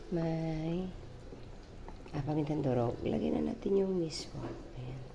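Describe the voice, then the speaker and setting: A woman speaks at a fairly slow pace with a very deep, low pitch and ordinary pitch variation. Room echo is audible, and there is noticeable background noise. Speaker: cooking vlogger. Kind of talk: cooking tutorial. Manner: casual, chatty.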